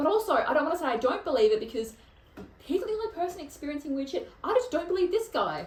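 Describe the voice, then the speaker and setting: An animated woman speaks at an extremely high pitch and a very fast pace, with very wide pitch swings. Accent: Australian. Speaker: podcast host. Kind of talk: casual chat.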